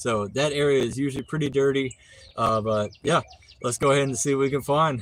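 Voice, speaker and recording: A man with a Southern accent, medium pitch and a fairly quick pace, in a very clean recording with a silent background. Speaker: litter cleanup streamer. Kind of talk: live stream narration. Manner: casual, filler-heavy.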